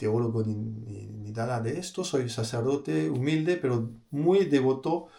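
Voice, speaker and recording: Over noticeable background noise and audible room echo, a man talks at a fairly slow pace. His voice sits at a medium pitch and swings very widely. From France. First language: French (speaking Spanish). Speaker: priest. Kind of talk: religious talk. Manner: halting, many fillers and repeated words.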